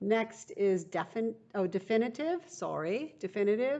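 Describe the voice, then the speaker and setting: Speaking at a fairly slow pace, a woman uses a normal speaking voice at medium pitch with lively intonation. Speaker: teacher. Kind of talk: recorded vocabulary lesson for students.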